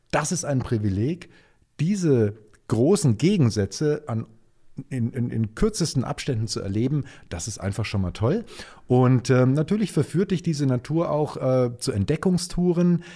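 Somewhat breathy, with a dark, mellow tone, a man speaks at a moderate pace and medium pitch with very wide pitch swings on a very clean recording with a silent background. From Germany, Nuremberg (Franconia). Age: 50s. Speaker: Nova Scotia enthusiast, colleague of host. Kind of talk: casual interview.

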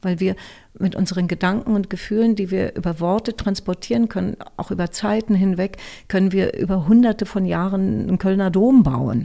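A woman speaks with a dark, mellow tone. Her pitch variation is ordinary. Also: medium pitch for a woman, moderate pace. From Berlin, Germany. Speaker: voice actor and speech coach. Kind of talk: interview.

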